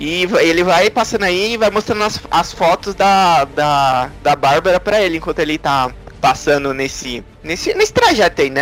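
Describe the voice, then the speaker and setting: A man talks in a high pitch with lively intonation at a moderate pace. There is noticeable background noise. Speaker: podcast co-host. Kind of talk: casual chat.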